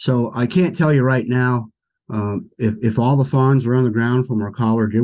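A dark, mellow tone comes through at a moderate pace with ordinary pitch variation. The background is quiet. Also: man. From US Northeast, south central Pennsylvania. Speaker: wildlife biologist. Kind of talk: interview conversation. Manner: halting, many fillers.

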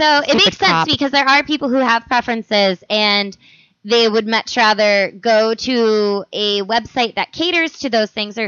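A woman's fairly high voice with an American accent, an unremarkable speaking voice at a moderate pace. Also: ordinary pitch variation. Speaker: podcast host. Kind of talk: casual comedic chat.

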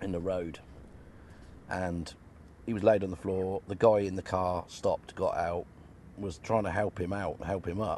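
Speaking at a moderate pace with long, frequent pauses, a man with a British accent uses a very deep, low pitch and a monotone, flat intonation. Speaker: caller. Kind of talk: storytelling.

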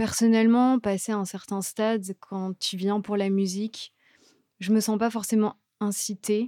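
A woman's fairly high voice of dark, mellow tone, monotone and flat, at a very slow pace with long, frequent pauses, in a dry, close sound with no echo on a very clean recording with a silent background. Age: 20s. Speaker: radio co-host. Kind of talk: casual radio chat. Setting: radio studio.

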